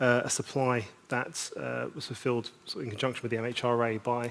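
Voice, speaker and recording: A man with a British accent at a medium pitch. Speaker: conference speaker. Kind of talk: conference panel talk. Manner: halting.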